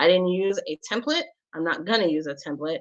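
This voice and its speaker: A woman's medium-pitched, unremarkable speaking voice at a moderate pace. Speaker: show host and tech tutorial presenter. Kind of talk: live screen-share tutorial. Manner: casual with many fillers.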